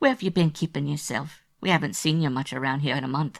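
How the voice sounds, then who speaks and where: In a put-on character voice, the speaker rasps out words at a very fast pace and a low-to-middle pitch, on a very clean recording with a silent background. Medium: read story. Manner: friendly on the surface, guarded.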